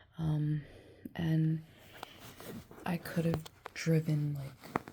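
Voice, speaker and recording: A woman speaks at a very deep, low pitch with monotone, flat intonation. Her pace is very slow, and there is noticeable background noise. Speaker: vlogger. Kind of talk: personal testimony vlog. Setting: lying in bed. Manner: halting.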